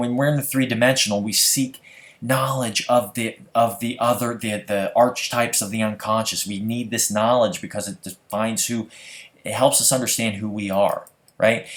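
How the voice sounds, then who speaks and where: A man with an American accent, medium pitch, moderate pace and an animated tone. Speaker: conspiracy video blogger. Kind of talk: stream of consciousness monologue. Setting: screen recording at home. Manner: casual, animated.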